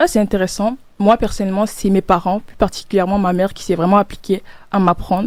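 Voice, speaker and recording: A woman speaks very fast in a Cameroonian accent. Her intonation stays fairly even while her loudness swings widely. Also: medium pitch for a woman. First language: Medumba (speaking French). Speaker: student podcast host. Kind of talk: casual chat.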